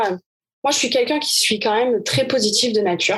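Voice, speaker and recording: A woman with a southern French accent, energetic in tone and fairly quick in pace. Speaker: tennis coach. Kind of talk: interview answer.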